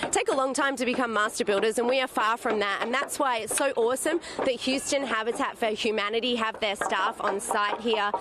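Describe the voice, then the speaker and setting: Upbeat and enthusiastic, a woman with an American accent talks with hardly any pauses, very even loudness and ordinary pitch variation over noticeable background noise. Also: fairly high pitch for a woman. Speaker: TV reporter. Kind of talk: TV news reporter segment. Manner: upbeat, enthusiastic.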